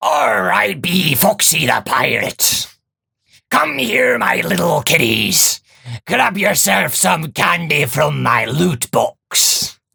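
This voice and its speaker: A man's raspy, put-on character voice, fairly high in pitch and very slow. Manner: gruff, playful.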